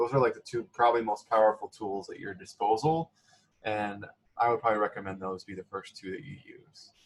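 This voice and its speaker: At a fairly quick pace, a man with a medium pitch and ordinary pitch variation sounds somewhat breathy. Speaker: career center staff presenter. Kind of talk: online workshop presentation. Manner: fast; casual, filler-heavy.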